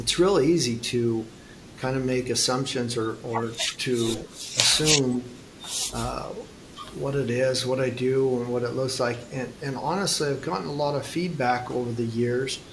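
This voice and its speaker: Against noticeable background noise and audible room echo, a man talks at a medium pitch with ordinary pitch variation. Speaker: futurist and climate advocate. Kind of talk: interview conversation. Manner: slow.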